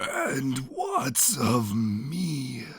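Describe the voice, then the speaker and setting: The speaker puts on a character voice that sounds raspy. Its pitch sits low-to-middle. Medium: read story.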